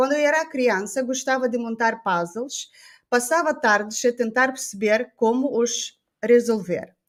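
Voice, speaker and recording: Lively intonation at a fairly slow pace, in a very clean recording with a silent background. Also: woman. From Moldova. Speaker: podcast host. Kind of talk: interview. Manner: halting.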